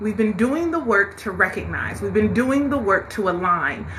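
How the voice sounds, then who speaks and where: A loud woman's voice in an animated tone, with very wide pitch swings, a moderate pace, and audible room echo. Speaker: spiritual live-stream host, tarot reader. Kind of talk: live-stream motivational talk. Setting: TikTok live stream. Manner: loud, animated.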